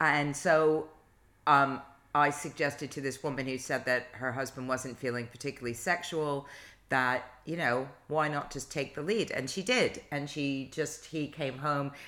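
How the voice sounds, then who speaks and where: Her pitch is very deep and low. The woman's intonation stays fairly even. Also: moderate pace. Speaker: podcast co-host. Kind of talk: casual conversational discussion.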